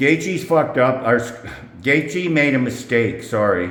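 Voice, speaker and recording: With audible room echo and noticeable background noise, a man speaks at a fairly slow pace with ordinary pitch variation. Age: 60s. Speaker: UFC betting predictions youtuber. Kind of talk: casual vlog talk to camera. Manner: rambling, filler-heavy.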